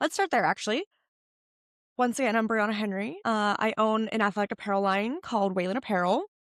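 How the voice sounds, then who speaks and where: Speaking at a very fast pace, a woman keeps her loudness very even, her fairly high pitch showing ordinary variation. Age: 30s. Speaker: podcast host and fitness apparel business owner. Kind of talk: casual solo podcast talk. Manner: filler words like and um.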